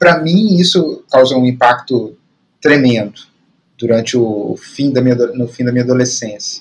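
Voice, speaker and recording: This man's voice is somewhat breathy and sits at a medium pitch. He talks at a moderate pace with ordinary pitch variation. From Brazil, Belo Horizonte. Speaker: podcast co-host. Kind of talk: casual film discussion. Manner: halting, many repetitions.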